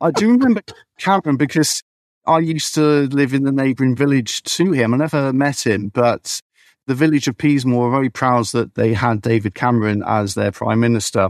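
Recorded with a dry, close sound, no echo and a quiet background, a man speaks at medium pitch and a fairly quick pace, his loudness very even and his pitch variation ordinary. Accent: southern English. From southern England, Berkshire. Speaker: beekeeper. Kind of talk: casual chat. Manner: halting, repeats words.

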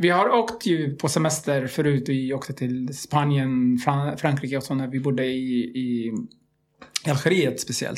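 A man with a plain, everyday voice speaks at a fairly high pitch and a fairly slow pace, with ordinary pitch variation. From Libya and Algeria, Iraqi family. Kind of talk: casual interview chat.

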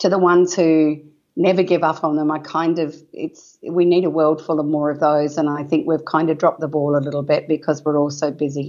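A woman with an Australian accent, a very deep, low pitch, and a fairly quick pace. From Western Australia wheat belt. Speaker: parenting author and educator. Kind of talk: casual interview chat. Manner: energetic, animated.

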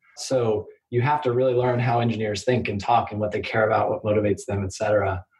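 A man speaks at a fairly quick pace with an American accent, in a normal speaking voice. His pitch is medium and his intonation fairly even. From US Midwest, Kansas City. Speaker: startup lawyer. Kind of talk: interview.

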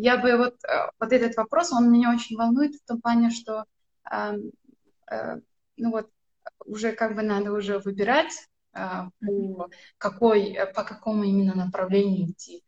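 A woman's fairly high, somewhat breathy voice at a moderate pace, with ordinary pitch variation, big swings in loudness, and long, frequent pauses. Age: 20s. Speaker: viewer asking a question. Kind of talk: live Q&A question. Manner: halting.

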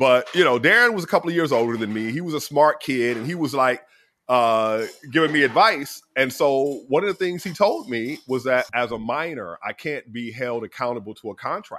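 Bright and sharp in tone, a man with an American accent speaks at a medium pitch and moderate pace, with an animated tone and lively intonation. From US South. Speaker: astronomer and physicist. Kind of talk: interview conversation. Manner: jovial.

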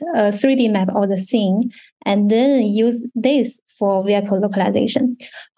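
A woman's fairly high, dark and mellow voice in a Chinese accent, with fairly even intonation and a fairly slow pace. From China. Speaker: university research fellow. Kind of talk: technical presentation.

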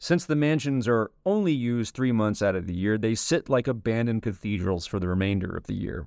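Against a quiet background, a man with a plain, everyday voice speaks fairly quickly at a medium pitch with lively intonation. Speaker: narrator reading an essay aloud. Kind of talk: literary audiobook reading of an essay. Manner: formal, polished, steady pace.

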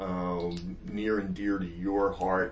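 A man with a Northern US accent speaks at a very slow pace. Background noise is noticeable. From US North. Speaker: podcast host. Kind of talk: casual interview. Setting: office.

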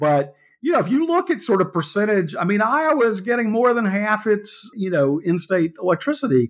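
A high-pitched man with an American accent, very wide pitch swings and hardly any pauses, on a very clean recording with a silent background. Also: moderate pace. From US South, Georgia. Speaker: veteran journalist and book co-author. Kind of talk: interview conversation.

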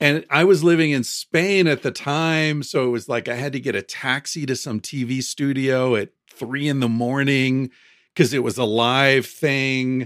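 The recording is very clean, with a silent background. A man speaks in a plain, everyday voice with an American accent. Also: medium pitch for a man, ordinary pitch variation. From United States. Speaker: author. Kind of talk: interview conversation.

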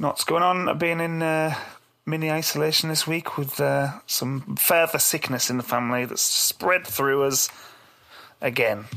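Here a man speaks at a moderate pace and a fairly high pitch, with fairly even intonation. His tone is bright and sharp, croaky, with vocal fry.

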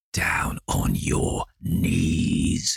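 A man puts on a character voice. He growls at a very deep, low pitch. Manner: growled, menacing.

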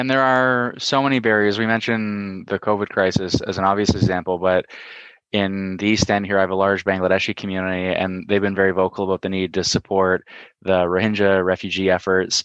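A man with a Canadian accent has a normal speaking voice, fairly low in pitch, with fairly even intonation. He talks at a fairly quick pace in a dry, close sound with no echo. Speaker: podcast host, politician. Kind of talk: interview.

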